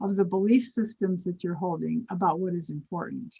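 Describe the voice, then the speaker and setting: Her tone is dark and mellow, somewhat breathy, at medium pitch. The woman speaks at a moderate pace. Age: 70s. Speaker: spiritual mentor. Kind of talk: interview.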